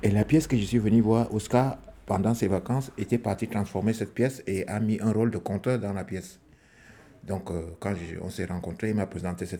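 Speaking at a moderate pace, a man with an ordinary speaking voice keeps his intonation fairly even. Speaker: theatre actor, former squatter. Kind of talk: testimony.

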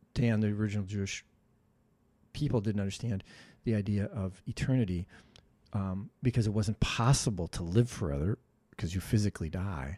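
A man with an Upper Midwest US accent speaks at a moderate pace, his pitch fairly low with ordinary variation and a dark, mellow tone. The recording is very clean with a silent background and a dry, close sound with no echo. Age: 60s. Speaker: mentor. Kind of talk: casual chat. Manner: halting.

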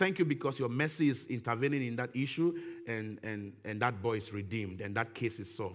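A man with a plain, everyday voice, medium pitch, lively intonation and a fairly quick pace, on a very clean recording with a silent background. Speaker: guest preacher. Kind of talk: sermon. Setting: church.

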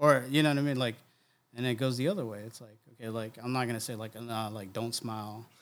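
A man's medium-pitched voice at a very fast pace, with fairly even intonation and big swings in loudness. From Oceanside, California (moved from New Jersey/New York around high school). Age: 40s. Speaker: photographer and creative director. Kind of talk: casual chat.

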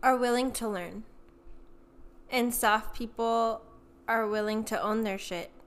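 On a very clean recording with a silent background, a woman speaks. Her pitch is fairly high and her pace fairly slow. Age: 20s. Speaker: podcast co-host. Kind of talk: casual chat. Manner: animated.

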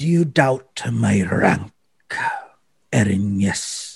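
A man puts on a character voice with a fairly low pitch. He talks at a very slow pace, with very wide pitch swings. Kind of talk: sinister fantasy villain voice. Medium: actual play. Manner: formal, cold, menacing.

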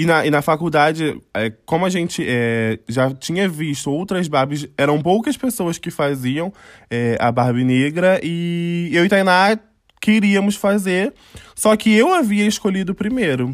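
Lively intonation comes through at a fairly slow pace on a very clean recording with a silent background. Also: man, high pitch for a man. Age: 20s. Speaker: fashion designer and costume maker, podcast co-host. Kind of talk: casual chat.

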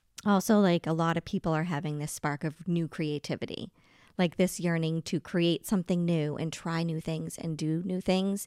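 An unremarkable speaking voice, a woman with an American accent talks at a moderate pace and fairly low pitch, her dry, close sound without echo on a very clean recording with a silent background. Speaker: spirit medium. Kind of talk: casual chat.

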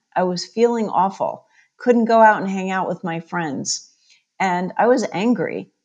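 At a fairly slow pace, a woman speaks in a normal speaking voice. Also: medium pitch for a woman, ordinary pitch variation. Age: 50s. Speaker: chiropractor and nutrition expert. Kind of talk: interview.

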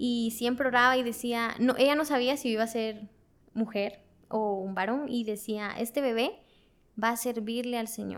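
A woman's fairly high-pitched, an unremarkable speaking voice at a moderate pace, with fairly even intonation, in a very clean recording with a silent background. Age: 20s. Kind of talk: testimony.

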